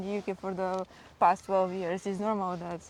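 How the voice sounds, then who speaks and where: This woman speaks with a Slavic accent at a moderate pace. Her intonation is monotone and flat. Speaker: vlogger, parent. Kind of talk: casual vlog chat. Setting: outdoors in a forest. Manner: halting, many fillers.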